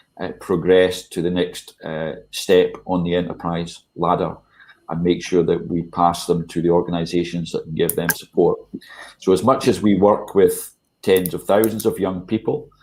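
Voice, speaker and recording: At a moderate pace, a man speaks with a Scottish accent. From Scotland. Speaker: charity chief executive. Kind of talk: online panel discussion. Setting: video call. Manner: hesitant, many fillers.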